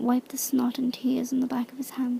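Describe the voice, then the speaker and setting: The speaker is whispering and soft-spoken. The pace is moderate. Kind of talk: audiobook-style reading of a fantasy novel in ASMR style. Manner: soft-spoken, whispered.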